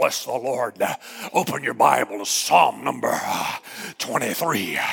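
A man puts on a character voice at a medium pitch. His pace is fairly slow. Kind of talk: preacher cadence. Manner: pompous, exaggerated.

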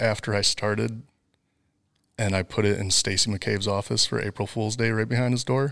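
A man with a Wisconsin accent speaks at a moderate pace in a fairly low pitch, his intonation fairly even. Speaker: fiber optic network designer. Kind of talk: casual interview.

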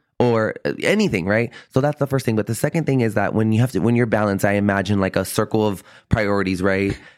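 In a very clean recording with a silent background, a man with an American accent and a fairly low pitch talks very fast with hardly any pauses, his tone animated, his loudness very even and his pitch variation ordinary. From US South, San Antonio, Texas. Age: 30s. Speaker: real estate professional. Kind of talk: casual interview chat.

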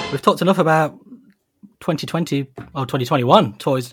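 Music plays behind a man with a British accent. He speaks at a fairly quick pace and a fairly high pitch, with ordinary pitch variation. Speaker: toy podcast host. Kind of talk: casual chat.

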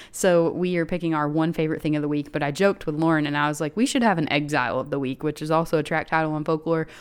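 Her very deep, low voice races at a very fast pace with hardly any pauses and fairly even intonation. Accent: American. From Chattanooga, Tennessee, US South. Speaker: podcast co-host. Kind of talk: casual chat.

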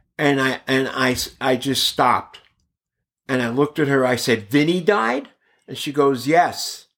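A man at a medium pitch and fairly slow pace, with long, frequent pauses. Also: ordinary pitch variation. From Brooklyn, New York (Bensonhurst), then Bay Area from age nine. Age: 50s. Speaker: actor and stand-up comedian. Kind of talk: casual interview.

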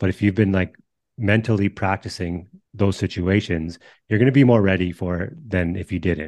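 An ordinary speaking voice from a man, fairly low in pitch with ordinary pitch variation, at a moderate pace over a quiet background. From northern British Columbia, Canada. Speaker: podcast host and baseball trainer. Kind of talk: casual interview.

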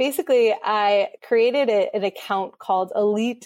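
An ordinary speaking voice from a woman, fairly high-pitched with ordinary pitch variation at a moderate pace, on a very clean recording with a silent background. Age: 30s. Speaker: podcast host and content creator. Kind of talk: casual interview.

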